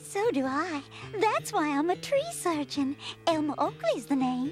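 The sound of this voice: In a cartoonish character voice, a female-sounding voice with a high pitch moves at a moderate pace over clear music in the background.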